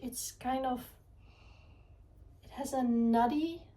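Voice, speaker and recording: A woman's high-pitched voice with a non-native accent, ordinary pitch variation and a fairly slow pace, plus audible room echo. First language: not English. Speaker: art vlogger. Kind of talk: casual vlog talk. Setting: home art studio. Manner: halting, searching for words; calm.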